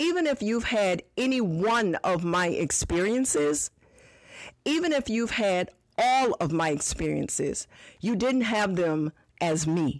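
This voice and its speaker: In an ordinary speaking voice at medium pitch, a woman talks at a fairly slow pace with lively intonation, on a very clean recording with a silent background. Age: 60s. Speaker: podcast host and business owner. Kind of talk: podcast monologue answering a listener question.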